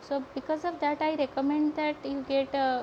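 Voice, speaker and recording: A woman speaks with an Odisha accent at a moderate pace. Her pitch is high. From India, Odisha. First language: Odia. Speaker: sketchbook artist and painting teacher. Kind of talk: live painting tutorial. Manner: halting, many fillers.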